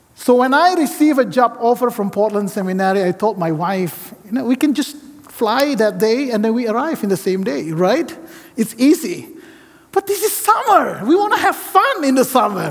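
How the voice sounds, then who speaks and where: A man speaks at a moderate pace with an extremely high pitch and very wide pitch swings. Noticeable background noise runs underneath. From Indonesia. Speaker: seminary professor and guest preacher. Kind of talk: sermon. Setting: church with congregation.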